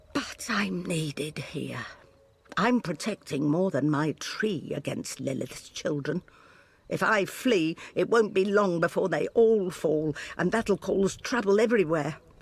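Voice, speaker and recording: At a fairly slow pace, someone uses a put-on character voice pitched in the middle range. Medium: video game. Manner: gentle, wry, wistful.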